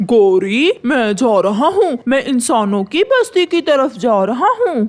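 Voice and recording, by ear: A cartoonish character voice, fairly high in pitch, moves at a fairly slow pace.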